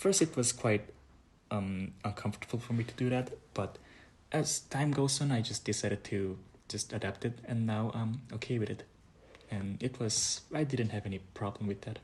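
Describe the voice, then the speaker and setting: The man's voice is medium in pitch and somewhat breathy. He keeps a moderate pace with ordinary pitch variation. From South Korea. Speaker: international student. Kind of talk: interview. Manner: halting.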